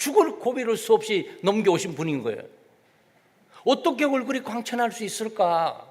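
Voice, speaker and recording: A man speaks at a moderate pace. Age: 60s. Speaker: pastor. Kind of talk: sermon. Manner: animated.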